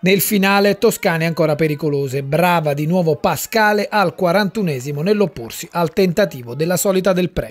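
With hardly any pauses, a man speaks at a high pitch with ordinary pitch variation. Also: moderate pace. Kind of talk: sports match report narration. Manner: brisk, clipped, rattling off minutes and players; formal, journalistic, steady.

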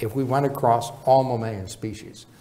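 A man with an American accent speaks at a moderate speed. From Chicago. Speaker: professor of epidemiology. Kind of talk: lecture. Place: hall.

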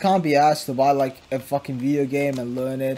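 This man's pitch is medium. Noticeable background noise runs behind him. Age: 20s. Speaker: YouTuber, video editor. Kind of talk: casual gameplay commentary. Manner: casual, rambling with fillers.

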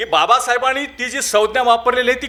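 A man projects a raised voice at an extremely high pitch, with a bright, sharp tone. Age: 50s. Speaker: event organizer and college lecturer. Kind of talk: presidential closing speech. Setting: auditorium with audience.

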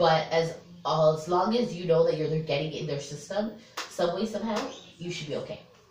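The speaker goes at a moderate pace with ordinary pitch variation. Background noise is noticeable. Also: woman, fairly low pitch for a woman. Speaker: parrot owner vlogger. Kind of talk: tutorial. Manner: casual.

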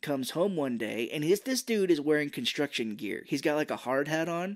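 An animated man talks at a fairly high pitch. The recording is very clean, with a silent background. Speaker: podcast co-host. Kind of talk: casual chat. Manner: animated, does character voices.

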